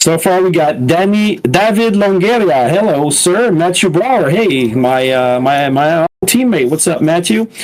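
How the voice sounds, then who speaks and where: A man speaks slowly with hardly any pauses and a very even loudness. His voice is high-pitched, with a slight French Canadian accent. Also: lively intonation. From Quebec. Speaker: sim racing commentator. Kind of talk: live commentary. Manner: halting.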